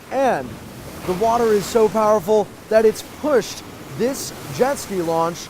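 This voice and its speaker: This man's voice is high-pitched, with a serious tone and lively intonation at a fairly slow pace. Noticeable background noise runs underneath. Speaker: multimedia journalist, TV news reporter. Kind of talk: TV news reporter stand-up and package narration. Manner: serious, informative package narration.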